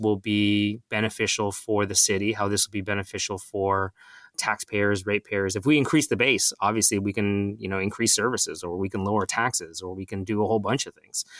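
In a very clean recording with a silent background and a dry, close sound with no echo, a man with a Canadian accent, a plain, everyday voice, speaks at a moderate pace and a fairly low pitch. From Ontario, Mississauga. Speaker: city councillor. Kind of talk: interview.

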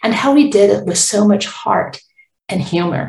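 At a moderate pace, a woman with an ordinary speaking voice speaks with lively intonation. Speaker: author. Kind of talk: author reading her picture book aloud, storytelling narration. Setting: recorded promotional audio intro. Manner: gentle, warm, expressive read-aloud pacing; clear, measured, child-friendly.

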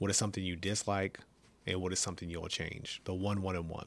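A man with an American accent speaks at a fairly quick pace. His pitch is very deep and low, and his intonation fairly even. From California. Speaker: military podcast host, Air Force first sergeant. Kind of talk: casual interview.

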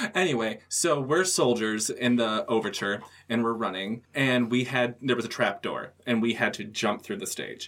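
With a plain, everyday voice, a man talks in an American accent at medium pitch, moderate pace and ordinary pitch variation, with hardly any pauses. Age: 30s. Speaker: actor and theater director. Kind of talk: casual chat.

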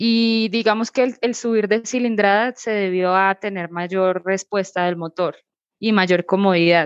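In a dry, close recording with no echo, a woman with an ordinary speaking voice talks at a fairly slow pace and medium pitch, with fairly even intonation. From Colombia, Bogotá. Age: 20s. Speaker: motorcycle traveler. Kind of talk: interview.

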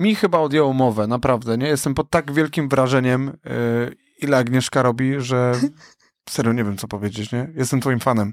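This is a normal speaking voice, a man's, at a fairly quick pace with ordinary pitch variation. The recording is very clean with a silent background. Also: medium pitch for a man. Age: young. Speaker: podcast co-host and event host. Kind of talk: casual chat. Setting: studio.

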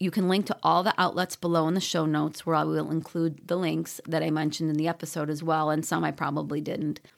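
Fairly low female voice with vocal fry, fairly quick pace and fairly even intonation, on a very clean recording with a silent background. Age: 50s. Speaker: running coach and podcast host. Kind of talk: solo podcast talk.

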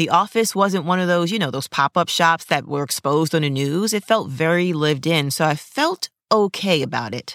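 A plain, everyday voice from a woman with a fairly low pitch, lively intonation, a moderate pace and hardly any pauses, in a very clean recording with a silent background and a dry, close sound with no echo. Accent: American. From New York City. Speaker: podcast host and commercial actor. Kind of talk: solo podcast monologue.

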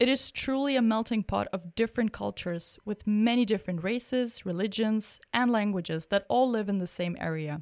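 In a very clean recording with a silent background, a woman with a normal speaking voice speaks at a fairly high pitch and a moderate pace, with ordinary pitch variation. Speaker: podcast host. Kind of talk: interview intro and conversation. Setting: studio.

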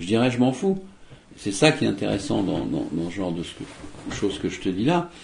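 A man's voice with vocal fry, very wide pitch swings, long, frequent pauses and audible room echo. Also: medium pitch for a man, moderate pace. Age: 60s. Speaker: magician. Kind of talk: interview. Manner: hesitant, many fillers.

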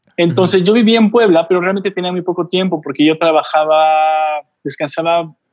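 Against a quiet background, a man with a normal speaking voice talks at a fairly quick pace in a fairly high pitch with ordinary pitch variation. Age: 40s. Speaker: photographer and travel blogger. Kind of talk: casual interview.

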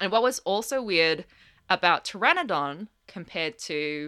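On a very clean recording with a silent background, a woman with an Australian accent speaks fairly slowly, her tone bright and sharp and her intonation lively. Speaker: palaeontologist. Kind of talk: casual educational interview.

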